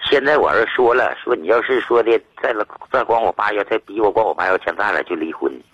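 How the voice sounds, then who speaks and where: A man talks at a very fast pace. The recording is dry and close with no echo. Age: 50s. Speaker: caller seeking family advice. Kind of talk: call-in advice conversation. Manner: halting, repetitive.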